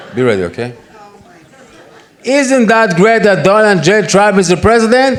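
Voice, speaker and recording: With an Israeli accent, a man speaks in a high, animated voice with lively intonation at a moderate pace, leaving long, frequent pauses amid noticeable background noise and audible room echo. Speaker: conference speaker. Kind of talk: conference talk. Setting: stage with audience.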